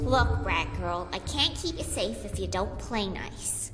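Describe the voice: Over clear background music, a female-sounding cartoonish character voice speaks at a fairly slow pace.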